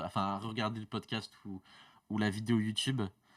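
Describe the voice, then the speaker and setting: The very clean recording, with a silent background, captures a man speaking at a fairly low pitch. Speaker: podcast co-host. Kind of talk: podcast segment presentation. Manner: fast; many fillers (euh, du coup).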